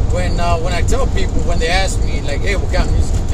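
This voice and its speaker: Loud background noise runs through the recording. A man talks over it. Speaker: truck driver vlogger. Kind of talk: casual vlog chat. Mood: relaxed, friendly. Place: car. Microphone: phone near.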